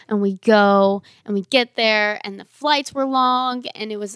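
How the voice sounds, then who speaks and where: This woman has an ordinary speaking voice, fairly high in pitch with ordinary pitch variation, at a moderate pace. The recording is very clean, with a silent background. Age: 20s. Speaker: young church member and barrel racer. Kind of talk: testimony.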